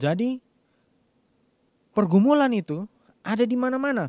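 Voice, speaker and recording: A man's voice with very wide pitch swings, dry and close with no echo, in a very clean recording against a silent background. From Minahasa, North Sulawesi, Indonesia. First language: Tombulu (Minahasa) (speaking Indonesian). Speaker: preacher. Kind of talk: sermon.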